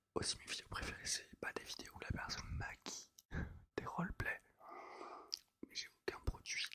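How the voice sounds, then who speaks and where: Whispering with big swings in loudness, a man speaks with long, frequent pauses. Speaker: ASMR creator. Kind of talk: whispered ASMR chat. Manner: whispered.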